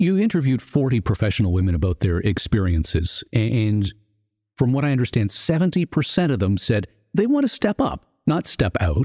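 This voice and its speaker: A man's somewhat breathy, dark, mellow voice at a medium pitch and moderate pace, with very wide pitch swings and very even loudness, in a very clean recording with a silent background and a dry, close sound with no echo. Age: 50s. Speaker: podcast host. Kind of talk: interview.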